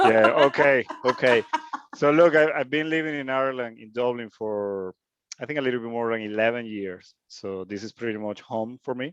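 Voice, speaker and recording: With a Spanish accent, a man speaks in a dry, close sound with no echo. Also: medium pitch for a man, ordinary pitch variation, moderate pace, big swings in loudness. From Venezuela. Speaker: hobby DJ learner. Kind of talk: self-introduction in group call.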